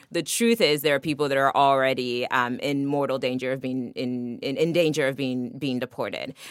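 A woman with an American accent speaks at a moderate pace with hardly any pauses, in a very deep, low pitch with ordinary pitch variation, over noticeable background noise. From Nigeria (Lagos), then Maryland from age 14. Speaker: immigrant rights advocate. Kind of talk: interview.

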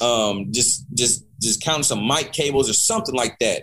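This man has a normal speaking voice and an American accent. His intonation is lively and his pace moderate. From Kansas, military family. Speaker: music producer. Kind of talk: casual interview.

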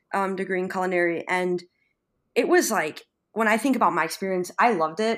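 At a moderate pace, a woman with a Western New York accent speaks at a medium pitch with ordinary pitch variation in a very clean recording with a silent background. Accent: Western New York American. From Buffalo, New York. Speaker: chef. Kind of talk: interview, casual chat.

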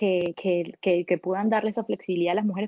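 Her intonation fairly even, a woman uses a normal speaking voice at a medium pitch. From Venezuela. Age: 30s. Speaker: solo traveler and entrepreneur. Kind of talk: interview.

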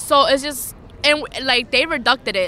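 A woman speaks at a moderate pace. Her tone is bright and sharp.

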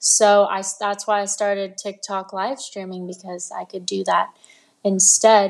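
Against a quiet background, a woman with an American accent speaks at a fairly slow pace and medium pitch, her intonation monotone and flat while her loudness swings widely. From Los Angeles, US. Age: 20s. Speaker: singer-songwriter and livestreamer. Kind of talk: interview.

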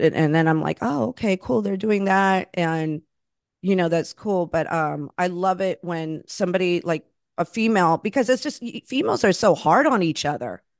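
Using an ordinary speaking voice, a woman with a fairly low pitch and lively intonation talks at a moderate pace against a quiet background, in a dry, close sound with no echo. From Florida, Puerto Rican and Cuban family. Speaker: podcast host. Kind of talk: casual interview chat.

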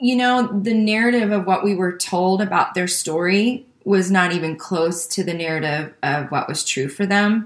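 A woman with an American accent and a plain, everyday voice speaks at a moderate pace and medium pitch, with ordinary pitch variation and hardly any pauses. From US Midwest, Joliet, Illinois. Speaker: pastor and author. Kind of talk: interview.

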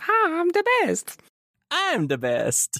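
This put-on character voice is squeaky and extremely high in pitch. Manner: cartoonish, exaggerated.

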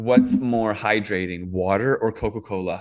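Medium in pitch with ordinary variation, a man with an American accent speaks in an ordinary speaking voice. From Washington DC area / Virginia. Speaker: farmer and chemtrail activist. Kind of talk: casual interview chat.

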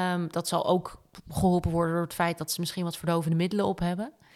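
On a very clean recording with a silent background, a woman speaks at a very fast pace with a medium-pitched voice. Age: 30s. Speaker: podcast co-host. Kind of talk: casual chat.

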